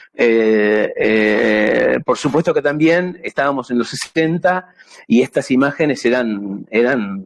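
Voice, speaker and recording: Very slow speech from a man at medium pitch, lively in intonation, in a dry, close sound with no echo. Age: 60s. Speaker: amateur radio operator. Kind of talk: presentation. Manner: halting.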